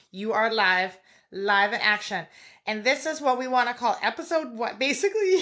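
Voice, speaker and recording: Loud and animated, a woman talks at a moderate pace with a high pitch, a bright, sharp tone and very wide pitch swings. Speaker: podcast host. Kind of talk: casual chat.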